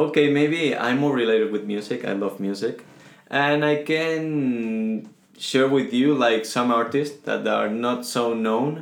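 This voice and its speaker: A man's medium-pitched voice with a Spanish accent, at a fairly slow pace. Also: ordinary pitch variation. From Venezuela. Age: 20s. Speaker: guest. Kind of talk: casual interview chat.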